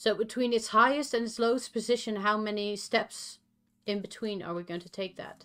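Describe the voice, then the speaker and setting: This woman has a Dutch accent and a fairly high, bright, sharp voice. Her intonation stays fairly even while her loudness swings widely at a moderate pace. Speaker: streamer coding an LED matrix. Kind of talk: casual chat. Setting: live stream.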